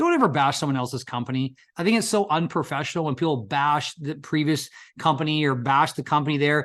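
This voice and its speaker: An animated, fairly high male voice at a very fast pace, with ordinary pitch variation and a quiet background. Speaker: insurance agency recruiter. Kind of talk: sales pitch.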